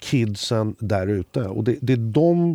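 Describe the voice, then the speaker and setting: A man reads at a fairly slow pace with lively intonation and a dark, mellow tone. The sound is dry and close with no echo, on a very clean recording with a silent background. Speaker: music industry executive and former drummer. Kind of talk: casual chat.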